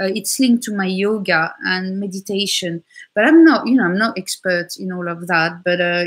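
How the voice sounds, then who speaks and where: A woman with a French accent at a medium pitch, moderate pace and ordinary pitch variation, against a quiet background. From France. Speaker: tarot reader. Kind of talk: tarot reading chat.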